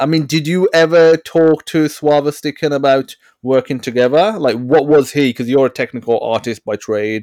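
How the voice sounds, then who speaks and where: In a very clean recording with a silent background and a dry, close sound with no echo, a man with an unremarkable speaking voice talks at a fairly high pitch and a moderate pace, with ordinary pitch variation and hardly any pauses. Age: 30s. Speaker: podcast host. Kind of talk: casual interview chat.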